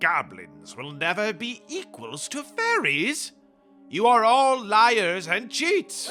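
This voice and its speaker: A man in a put-on character voice, high-pitched and very slow, with faint music in the background. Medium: audio drama. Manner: deferential.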